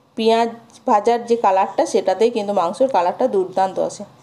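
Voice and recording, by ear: Fast-paced woman's voice in a dark, mellow tone. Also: medium pitch for a woman, ordinary pitch variation.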